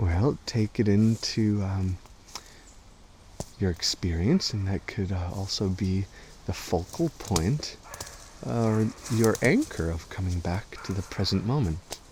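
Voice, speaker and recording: A soft-spoken man, fairly low in pitch with ordinary pitch variation, broken by long, frequent pauses. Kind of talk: ASMR guided walk. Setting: outdoors.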